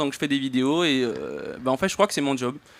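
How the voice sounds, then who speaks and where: Ordinary in pitch variation, a man with a fairly high pitch speaks at a moderate pace. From French Polynesia. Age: 20s. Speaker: video content creator. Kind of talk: panel discussion.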